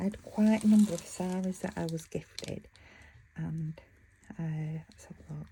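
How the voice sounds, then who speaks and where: Moderate pace, in a British accent. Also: woman. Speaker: craft vlogger. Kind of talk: casual tutorial. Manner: mumbling; chatty, halting.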